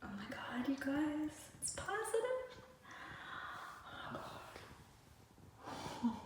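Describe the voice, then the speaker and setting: A woman whispers at a very slow pace with long, frequent pauses and big swings in loudness, and audible room echo surrounds her voice. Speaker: vlogger. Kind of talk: personal vlog. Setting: bathroom. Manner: whispering.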